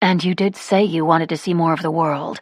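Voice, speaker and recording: A put-on character voice at middle pitch, delivered at a fairly quick pace, on a very clean recording with a silent background. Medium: read story. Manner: calm, reasonable.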